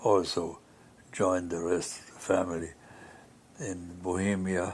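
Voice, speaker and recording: Very deep and low in pitch, a man talks at a fairly slow pace in a somewhat breathy voice with monotone, flat intonation. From Austria. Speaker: pianist; Holocaust survivor. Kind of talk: interview answer.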